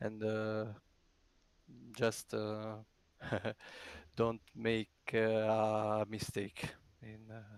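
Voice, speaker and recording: The speaker has a non-native accent and a monotone, flat intonation, talking at a very slow pace. Long, frequent pauses break it up, and the loudness swings widely. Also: man, fairly low pitch for a man. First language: not English. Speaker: sim racing driver. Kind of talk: post-race interview. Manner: halting, many hesitations.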